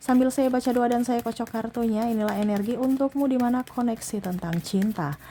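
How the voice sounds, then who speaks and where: Soft-spoken and at a fairly high pitch, a woman talks fairly quickly with hardly any pauses and a dark, mellow tone, on a very clean recording with a silent background. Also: ordinary pitch variation. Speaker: tarot reader. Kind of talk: tarot reading.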